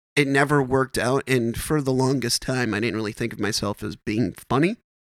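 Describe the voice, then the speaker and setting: A man with an American accent has a normal speaking voice, medium in pitch, at a moderate pace. The sound is dry and close with no echo, a very clean recording with a silent background. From Wisconsin. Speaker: stand-up comedian. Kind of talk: casual chat.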